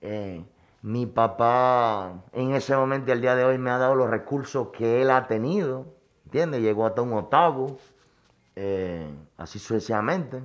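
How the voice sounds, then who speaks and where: A man speaks at a fairly slow pace with a medium pitch and ordinary pitch variation. It is a plain, everyday voice. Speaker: chef. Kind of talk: personal life story interview.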